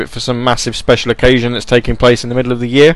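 A man speaks with an American accent while noticeable background noise runs underneath. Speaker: internet radio DJ. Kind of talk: casual radio chat between music tracks. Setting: home studio, live stream with chat. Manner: casual, many filler ums.

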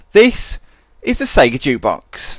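A man speaks at a fairly slow pace. He has a British accent. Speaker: internet radio DJ. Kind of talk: radio DJ patter introducing requests and tracks. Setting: radio studio broadcast stream. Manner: chatty, casual, upbeat, improvised with um's and tangents.

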